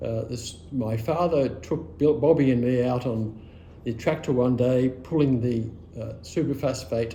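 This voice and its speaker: Amid audible room echo, a man with an Australian accent speaks at a moderate pace and medium pitch, somewhat breathy, with a dark, mellow tone and ordinary pitch variation. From Australia, rural western Victoria. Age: 70s. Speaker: oral history interviewee. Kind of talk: oral history interview, personal reminiscence. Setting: at his home.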